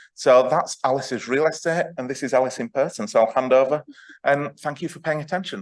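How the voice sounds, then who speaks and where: There is a quiet background behind this man. He speaks at a fairly quick pace with a northern English accent. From northern England. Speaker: astronomer and festival host. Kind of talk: speech introducing a speaker.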